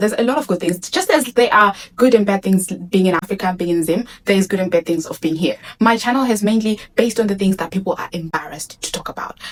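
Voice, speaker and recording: Speaking at a very fast pace with hardly any pauses, a woman with a Zimbabwean accent uses lively intonation at medium pitch. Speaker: vlogger. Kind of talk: casual talk to camera.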